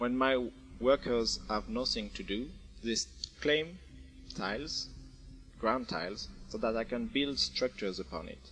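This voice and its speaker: Music plays in the background as a man with a French accent speaks at a fairly slow pace, leaving long, frequent pauses. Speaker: game developer. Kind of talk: video game tutorial narration. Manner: casual, hesitant.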